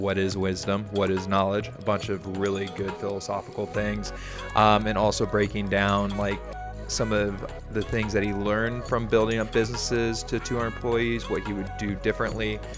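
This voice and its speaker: A man's fairly low voice at a moderate pace, with fairly even intonation and music in the background. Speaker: podcast host. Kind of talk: podcast intro.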